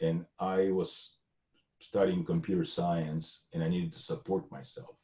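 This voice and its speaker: A man's very deep, low voice with a Spanish accent, a dark, mellow tone, lively intonation and big swings in loudness, at a fairly slow pace. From Argentina. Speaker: entrepreneur. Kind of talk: interview.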